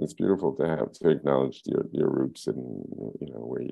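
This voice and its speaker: Music plays in the background as a man with an American accent talks at a moderate pace. His pitch is very deep and low, with ordinary variation. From Brooklyn, New York (East Flatbush). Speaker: filmmaker and photographer. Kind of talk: oral history interview. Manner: halting, many fillers and repetitions.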